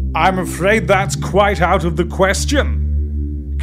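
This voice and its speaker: A man uses a booming, put-on character voice at a very slow pace. Loud music plays in the background. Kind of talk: formal, polite menace. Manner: dreadful, menacing.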